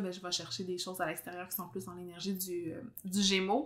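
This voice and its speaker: A woman speaks with a slight Abitibi Quebec accent. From Quebec, Abitibi. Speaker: podcast host, astrologer. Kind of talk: casual interview chat. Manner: fast.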